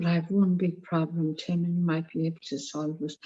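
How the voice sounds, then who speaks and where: A woman's somewhat breathy voice, dark and mellow in tone and fairly low, moves at a fairly quick pace in a monotone, flat intonation. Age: 70s. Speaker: AA member sharing. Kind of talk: testimony. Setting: video call.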